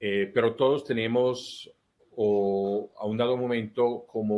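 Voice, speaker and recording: This man talks with an Italian accent at a very slow pace. His pitch sits in the medium range. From Italy. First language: Italian (speaking Spanish). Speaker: life coach. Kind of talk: interview. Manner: halting.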